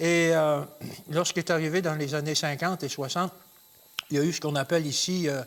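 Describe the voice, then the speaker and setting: Speaking at a fairly quick clip, a man with a fairly high voice keeps a flat, monotone intonation broken by long, frequent pauses. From Quebec, Beauce. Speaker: Bible teacher. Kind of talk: religious Q&A show. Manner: hesitant, many fillers.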